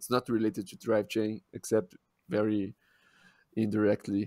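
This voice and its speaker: In a strong Brazilian accent, a man with a dark, mellow tone speaks at a moderate pace. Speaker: podcast co-host. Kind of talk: casual chat.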